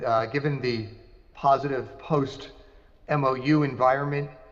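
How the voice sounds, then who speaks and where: A man talks with fairly even intonation, and the room echo is audible. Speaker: investment banker, conference speaker. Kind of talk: conference presentation.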